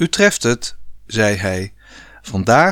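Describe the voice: Text read out in a plain manner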